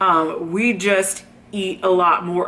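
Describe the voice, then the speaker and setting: Her pitch sits in the medium range for a woman. Behind her, noticeable background noise can be heard. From Southern California. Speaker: video blogger. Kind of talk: casual chat. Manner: animated.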